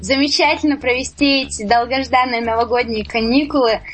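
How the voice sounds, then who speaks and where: The woman's pitch is high and her intonation fairly even. There is noticeable background noise in the recording. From Siberia, Zabaykalsky Krai. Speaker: singer-songwriter. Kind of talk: radio interview. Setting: studio.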